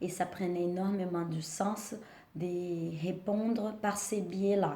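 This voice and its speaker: A woman's very slow speech at medium pitch, with fairly even intonation, noticeable background noise and audible room echo. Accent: strong non-native. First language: not French (speaking French). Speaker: vlogger sharing naturalisation experience. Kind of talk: personal vlog with advice. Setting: at home.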